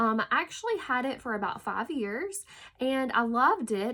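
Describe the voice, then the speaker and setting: In a Southern US accent, a woman speaks at a moderate pace. Her tone is bright and sharp, on a very clean recording with a silent background. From US South. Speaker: hairstylist and direct sales executive. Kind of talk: casual talk to camera. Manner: hesitant, many fillers.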